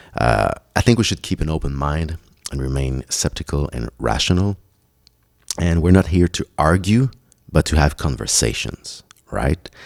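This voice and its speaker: A man's very deep, low voice with a French accent and long, frequent pauses, dry and close with no echo. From Quebec, Montreal. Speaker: podcast host. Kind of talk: solo podcast monologue.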